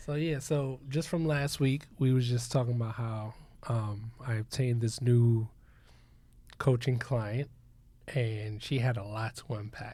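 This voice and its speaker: A man's somewhat breathy, dark and mellow voice at medium pitch, fairly slow, on a very clean recording with a silent background. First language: not English. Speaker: podcast co-host and coach. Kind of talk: casual chat. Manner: animated.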